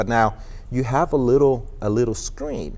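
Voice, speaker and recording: A man with a Spanish accent. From Colombia. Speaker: online marketing executive. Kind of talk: TV interview.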